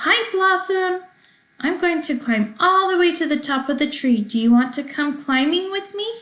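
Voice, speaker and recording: A woman's put-on character voice, high-pitched and squeaky, at a moderate pace. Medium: read story. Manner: cheerful, quick.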